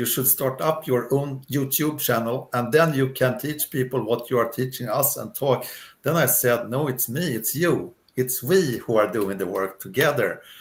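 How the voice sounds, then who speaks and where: A man speaks with a Swedish accent at a medium pitch and a moderate pace. His voice is somewhat breathy, with ordinary pitch variation. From Sweden. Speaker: retired career coach. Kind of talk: interview. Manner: hesitant.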